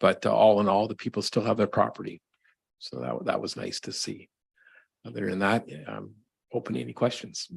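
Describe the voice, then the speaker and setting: Soft-spoken man with a Canadian accent, big swings in loudness, and long, frequent pauses. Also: fairly quick pace. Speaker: fire chief. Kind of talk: council meeting report.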